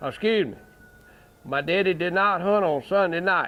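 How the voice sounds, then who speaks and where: Here a man speaks in a Southern US accent. His pitch is high and his pace moderate. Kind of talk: storytelling to a small audience. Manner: casual, folksy.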